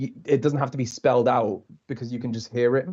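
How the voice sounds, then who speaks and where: A man with a dark, mellow tone talks at a fairly quick pace, keeping his intonation fairly even. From Liverpool, England. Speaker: TV continuity announcer. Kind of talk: casual interview. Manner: fast.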